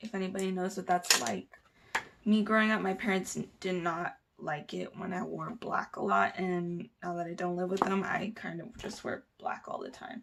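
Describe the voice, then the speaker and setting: Using a normal speaking voice, a woman talks at a moderate pace in a medium pitch with fairly even intonation. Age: 20s. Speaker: makeup vlogger and dental assistant. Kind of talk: casual makeup tutorial vlog. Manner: chatty, casual.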